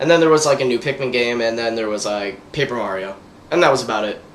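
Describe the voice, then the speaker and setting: There is noticeable background noise behind a man. He talks very fast with lively intonation. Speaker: gaming video host. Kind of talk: casual gaming commentary. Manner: animated.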